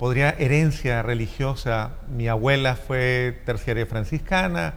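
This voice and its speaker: A man with a Colombian accent speaks at a fairly slow pace, his pitch swinging very widely, with audible room echo. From Colombia, Cali. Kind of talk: interview. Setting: church.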